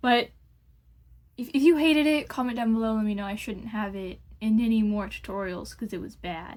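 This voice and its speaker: Intonation is lively as a woman speaks at a fairly quick pace. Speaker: makeup vlogger. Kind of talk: tutorial. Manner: fast; casual, hesitant with fillers.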